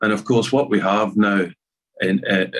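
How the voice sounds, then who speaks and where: A man speaks with a Scottish accent over a quiet background. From Scotland. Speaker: arts festival chair. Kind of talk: conference talk. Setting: video call. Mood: serious, measured. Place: home room. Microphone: webcam.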